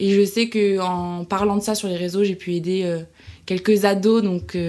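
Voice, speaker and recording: Very slowly, a woman speaks in a monotone, flat intonation. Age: 20s. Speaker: social media content creator. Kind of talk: interview.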